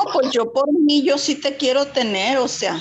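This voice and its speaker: A woman talks very slowly in a high pitch. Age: 60s. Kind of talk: personal testimony in online workshop.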